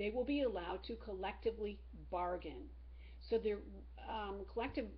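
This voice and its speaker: A woman talks at a moderate pace as audible echo fills the room and noticeable noise sits behind her. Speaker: teacher. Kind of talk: lecture.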